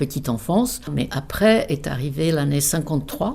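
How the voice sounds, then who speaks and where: A woman speaks at a moderate pace with a Czech accent. Her very deep, low voice has a dark, mellow tone and vocal fry. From Czech Republic, South Bohemia. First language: Czech (speaking French). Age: 70s. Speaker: interpreter, emigrant interviewee. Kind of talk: life story interview.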